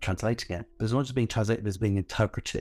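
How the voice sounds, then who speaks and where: A man's voice is fairly low in pitch with fairly even intonation. Background music plays behind him. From northwest London. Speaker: heritage organisation founder and author. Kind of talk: casual interview.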